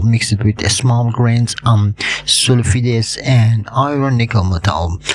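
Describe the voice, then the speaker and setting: Noticeable background noise sits behind a man speaking very slowly. He uses a medium pitch with ordinary variation. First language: not English. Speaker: hobbyist video creator on meteorites. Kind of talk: educational tutorial. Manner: halting with many fillers.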